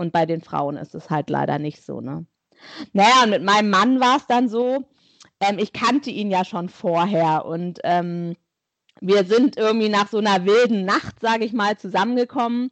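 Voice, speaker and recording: In a plain, everyday voice, a woman talks at a moderate pace. Her pitch is medium and her intonation is lively. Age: 40s. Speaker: guest sharing infertility story. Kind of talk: interview testimony.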